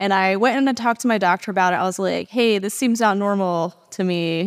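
Over a silent background in a very clean recording, a woman uses a normal speaking voice at medium pitch, moderate pace and ordinary pitch variation. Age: 30s. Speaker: podcast host, fitness trainer. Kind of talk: casual interview.

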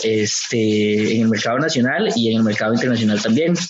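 A man's medium-pitched voice with a Costa Rican accent, at a fairly quick pace, with audible room echo and noticeable background noise. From Costa Rica, Aserrí. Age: 30s. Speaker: coffee farm entrepreneur and dancer. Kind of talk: casual interview. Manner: halting, many fillers.

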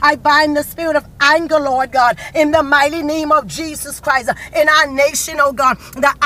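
Against noticeable background noise, a woman uses a raised, projected voice, high in pitch and intense in tone, with fairly even intonation. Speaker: prayer leader. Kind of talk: fervent prayer. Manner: fervent, intense, pleading; forceful, commanding when rebuking evil.

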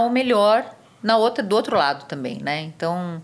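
A woman talks at a fairly quick pace in an unremarkable speaking voice. Her intonation is lively. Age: 50s. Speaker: physician. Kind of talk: interview.

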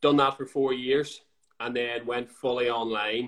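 This man speaks with a Northern Irish accent at a medium pitch. His intonation is monotone and flat. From Northern Ireland. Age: 20s. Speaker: fitness coach. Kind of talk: casual chat. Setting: Instagram live.

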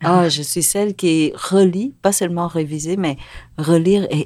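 In a very clean recording with a silent background, a woman speaks at a moderate pace with a fairly low pitch and ordinary pitch variation. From Vietnam, raised in Quebec from age ten. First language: Vietnamese (speaking Chinese). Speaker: novelist. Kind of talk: interview. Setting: studio.

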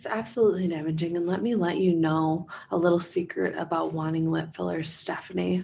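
In a normal speaking voice, a woman with a fairly low pitch talks at a fairly quick pace with hardly any pauses. Her intonation stays fairly even. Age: 30s. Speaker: licensed counselor and podcast co-host. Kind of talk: casual chat.

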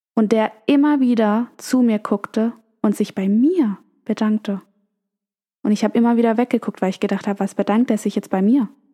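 A woman's fairly high, somewhat breathy voice with a dark, mellow tone, very even loudness and a dry, close sound with no echo. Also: ordinary pitch variation, moderate pace. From Germany. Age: 20s. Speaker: podcast host. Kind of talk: storytelling monologue.

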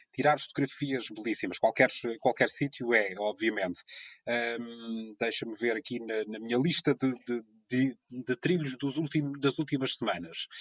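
An unremarkable speaking voice from a man at medium pitch, with ordinary pitch variation at a fairly slow pace, comes through in a dry, close sound with no echo. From Azores, São Miguel. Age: 30s. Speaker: radio presenter and amateur photographer. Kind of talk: casual chat.

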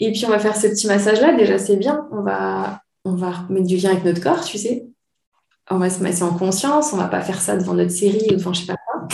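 A woman at a medium pitch and a fairly quick pace, with audible room echo. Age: 30s. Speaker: naturopath. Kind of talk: casual chat.

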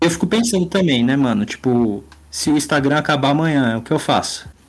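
A man at a fairly quick pace and fairly high pitch, with very wide pitch swings, against noticeable background noise. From São Paulo area, Brazil. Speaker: illustrator and comic artist. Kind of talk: casual chat.

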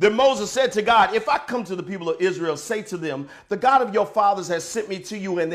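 Someone is reading aloud in a natural voice. The words come out as read text.

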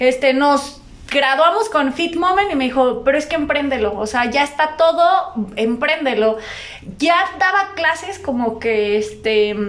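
Over noticeable background noise, a woman speaks fairly slowly in a high voice with lively intonation. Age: 20s. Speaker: entrepreneur, gym owner and PE teacher. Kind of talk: casual chat.

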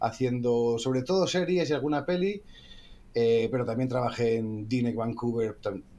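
This man talks at a moderate pace with a medium pitch and ordinary pitch variation. His tone is dark and mellow. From Asturias, Spain. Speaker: visual effects producer. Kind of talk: casual chat.

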